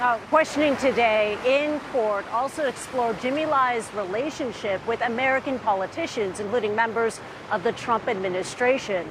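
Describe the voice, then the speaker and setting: Fairly high-pitched woman at a moderate pace with hardly any pauses, noticeable background noise behind her. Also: ordinary pitch variation. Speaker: TV news correspondent. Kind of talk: TV news field report. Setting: outdoors.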